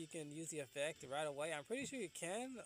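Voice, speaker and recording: With music in the background, a man speaks at a very fast pace and a high pitch. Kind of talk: gameplay commentary. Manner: hesitant, filler-heavy.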